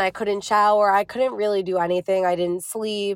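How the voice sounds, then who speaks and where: A woman with an American accent holds a medium pitch and fairly even intonation. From New Jersey. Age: 30s. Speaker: young widow sharing her grief story. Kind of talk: interview about personal loss.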